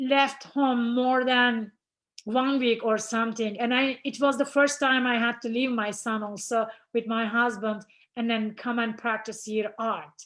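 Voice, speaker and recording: Speaking with a non-native accent, a woman keeps a fairly high pitch and flat monotone intonation at a fairly slow pace. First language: not English. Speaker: ceramic artist. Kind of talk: artist talk presentation. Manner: halting.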